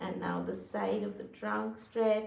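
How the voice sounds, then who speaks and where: A woman's calm tone, with audible room echo and noticeable background noise. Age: 60s. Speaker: physical therapist and fitness instructor. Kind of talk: exercise tutorial. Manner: calm, instructive.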